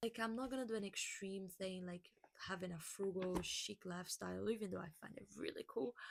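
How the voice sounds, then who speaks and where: The speaker has a Portuguese accent and moves at a fairly quick pace. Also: woman. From Brazil. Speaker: lifestyle vlogger. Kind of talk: casual vlog monologue. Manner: halting.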